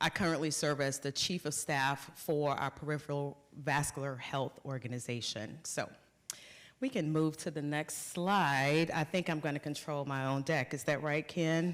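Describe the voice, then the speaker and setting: On a very clean recording with a silent background, a woman with a Southern US accent and a very deep, low pitch speaks at a moderate pace with fairly even intonation. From US South, North Carolina. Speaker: corporate executive. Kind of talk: conference talk.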